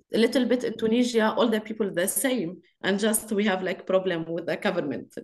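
Speaking at a fairly quick pace with an Arabic accent, a woman uses a fairly high pitch and ordinary pitch variation. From Lebanon. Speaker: activist and actress; panelist. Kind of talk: webinar talk. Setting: video call. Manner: halting. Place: home room. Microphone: video call.

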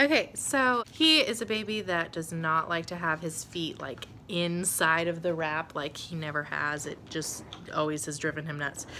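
Over light background noise, a woman with a fairly low pitch and a bright, sharp tone speaks at a fairly slow pace with ordinary pitch variation. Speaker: stay-at-home mom vlogger. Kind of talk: casual vlog chat. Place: home room. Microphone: phone near.

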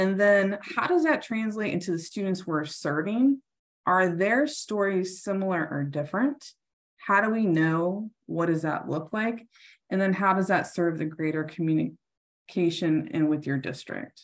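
A woman with a fairly low pitch, a fairly slow pace and ordinary pitch variation.

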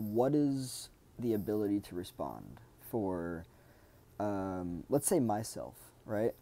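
Speaking very slowly, a man with a fairly low pitch and a dark, mellow tone uses lively intonation. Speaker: self-development video creator. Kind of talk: solo monologue talk. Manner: halting, many fillers. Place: home room. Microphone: earbuds.

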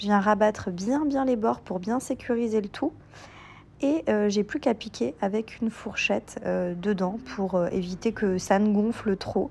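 A woman's fairly high voice moves at a fairly slow pace, its pitch varying in an ordinary way. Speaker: cooking YouTuber. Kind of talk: cooking tutorial. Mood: cheerful, enthusiastic.

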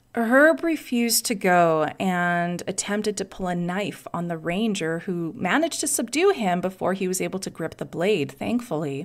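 A woman speaks in an ordinary speaking voice at medium pitch and a moderate pace. Her intonation is lively, with hardly any pauses. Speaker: podcast host. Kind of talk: true-crime narration. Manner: conversational, wry, sarcastic asides; clear, measured storytelling pace.

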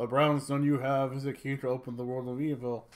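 A man's booming put-on character voice at a medium pitch, monotone and flat, at a fairly quick pace. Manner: commanding, ominous.

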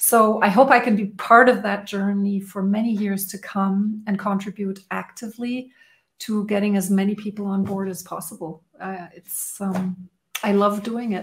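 Somewhat breathy speech at a moderate pace, monotone and flat, with big swings in loudness. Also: woman. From Germany. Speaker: strengths coach. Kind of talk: interview. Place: home room.

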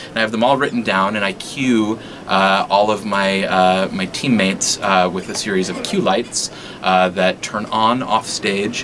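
Over noticeable background noise, a man with a fairly low pitch speaks at a fairly slow pace and with fairly even intonation. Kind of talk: interview answer. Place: stage.

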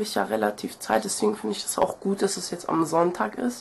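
A woman's voice over noticeable background noise. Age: 20s. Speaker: video blogger. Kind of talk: casual vlog monologue. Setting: video to camera. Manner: nervous, chatty, animated.

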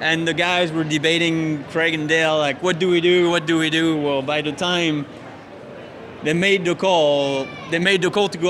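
A man speaks at a moderate pace in a monotone, flat intonation. Noticeable background noise runs underneath. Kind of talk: interview answer. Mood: reflective, mildly frustrated. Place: stadium. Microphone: handheld.

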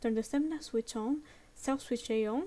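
A woman with a non-native accent speaks at a fairly quick pace in a high pitch, with ordinary pitch variation. Her tone is dark and mellow. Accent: non-native English pronunciation. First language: non-native English speaker. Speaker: game-making tutorial creator. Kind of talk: software tutorial narration. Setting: home recording with a low-quality mic.

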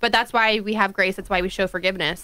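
Speaking at a very fast pace, a woman uses a bright, sharp tone against a quiet background. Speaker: radio co-host. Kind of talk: political talk radio. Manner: casual. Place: studio. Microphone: studio mic.

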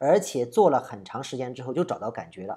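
Fairly quick speech in a southern Chinese accent, on a very clean recording with a silent background. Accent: southern Chinese accent in Mandarin. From southern China. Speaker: trading analyst and online educator. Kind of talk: commentary on viewer comments. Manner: halting, many fillers.

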